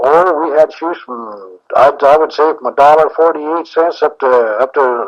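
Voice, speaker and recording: A man's fairly high-pitched, normal speaking voice with an American accent, ordinary pitch variation, a moderate pace and hardly any pauses. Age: 60s. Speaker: shoe store owner. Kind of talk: interview answer. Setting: cassette tape recording.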